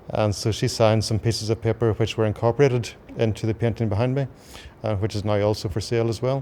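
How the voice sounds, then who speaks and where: In a Northern Irish accent, a man with a dark, mellow tone speaks at a very fast pace with ordinary pitch variation. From Belfast, Northern Ireland. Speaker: artist and ordained minister. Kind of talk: interview answer.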